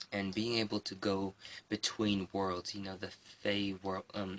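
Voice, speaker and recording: A soft-spoken man's voice, fairly low in pitch, with a bright, sharp tone and flat, monotone intonation. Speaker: pagan craft vlogger. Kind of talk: casual show-and-tell vlog. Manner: soft, quiet speaking.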